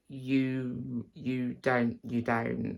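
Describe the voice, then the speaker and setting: A man at a medium pitch, speaking very slowly in an Estuary accent. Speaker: actor and singer teaching accents. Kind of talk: tutorial. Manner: halting, many fillers.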